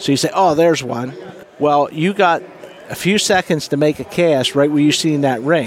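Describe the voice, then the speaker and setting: There is noticeable background noise as a man with an American accent speaks. His pitch is fairly high and his pace moderate. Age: 50s. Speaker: fishing guide. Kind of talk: casual interview.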